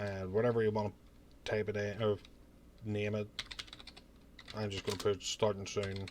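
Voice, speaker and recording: A man with a Northern Irish accent speaks at a moderate pace and a fairly low pitch, in a monotone, flat intonation. He leaves long, frequent pauses over noticeable background noise. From Northern Ireland. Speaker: streamer and YouTuber. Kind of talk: tutorial. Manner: casual.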